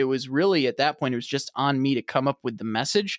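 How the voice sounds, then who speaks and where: A man speaks in a plain, everyday voice at a fairly high pitch and a fairly quick pace, with a dry, close sound, no echo, and a very clean recording over a silent background. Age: 30s. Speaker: manufacturing podcaster and former sales rep. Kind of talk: podcast interview.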